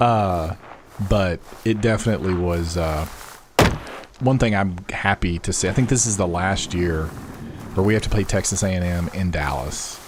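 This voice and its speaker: Noticeable background noise surrounds a man with an American accent and a very deep, low pitch, who speaks at a moderate pace with long, frequent pauses and ordinary pitch variation. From Arkansas, US South. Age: 40s. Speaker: gaming streamer. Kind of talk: casual chat. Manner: animated.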